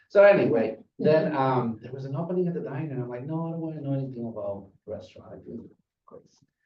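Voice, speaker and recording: Very fast and somewhat breathy, a man with a fairly high pitch speaks with lively intonation and big swings in loudness. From Guatemala. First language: Spanish. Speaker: restaurant manager. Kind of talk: public talk at community meeting. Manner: halting.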